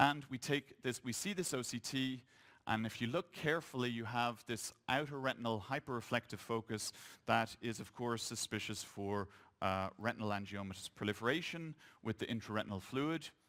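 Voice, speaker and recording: On a very clean recording with a silent background, a man with an Irish accent speaks at a medium pitch and moderate pace with ordinary pitch variation. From Ireland. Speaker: eye doctor. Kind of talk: conference lecture.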